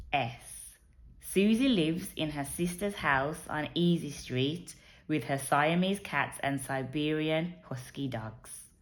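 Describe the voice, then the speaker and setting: Very slowly, a woman speaks with a very deep, low pitch and lively intonation. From England. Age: 30s. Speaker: underwriter. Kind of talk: word list reading.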